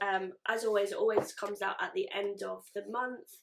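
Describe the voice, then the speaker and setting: A woman is speaking. She has a British accent. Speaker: beauty YouTuber. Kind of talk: casual vlog unboxing.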